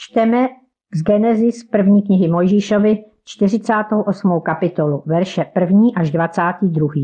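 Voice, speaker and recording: Very slow in pace, the speech carries a dark, mellow tone. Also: woman, medium pitch for a woman, ordinary pitch variation. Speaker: church member and devotional author. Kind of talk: devotional reflection.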